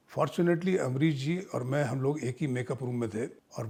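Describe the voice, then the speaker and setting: Music plays behind a man speaking at a moderate pace. His pitch is medium, with ordinary pitch variation. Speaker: actor. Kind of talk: interview answer. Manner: conversational, storytelling.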